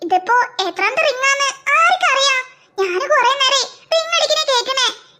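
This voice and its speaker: This is a squeaky, cartoonish character voice. Its intonation is lively. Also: woman. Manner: brisk, bossy, dismissive.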